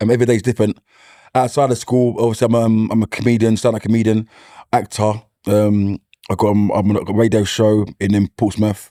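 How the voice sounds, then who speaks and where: A man with a strong East London accent, fairly low in pitch, dark and mellow in tone, monotone and flat, at a fairly quick pace with very even loudness, in a dry, close sound with no echo. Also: very clean recording, silent background. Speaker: comedian and school mentor. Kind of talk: casual chat.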